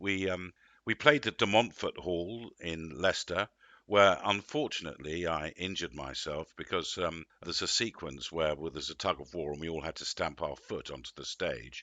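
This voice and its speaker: A man with an English accent, very deep, low pitch, vocal fry, ordinary pitch variation and big swings in loudness, at a moderate pace. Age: 60s. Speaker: actor. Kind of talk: interview.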